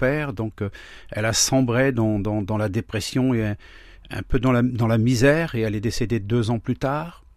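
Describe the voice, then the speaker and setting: The recording is very clean, the background silent. A man talks at a moderate pace and a medium pitch. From France, Laon (Aisne), Traveller community. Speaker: pastor. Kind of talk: testimony. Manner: halting.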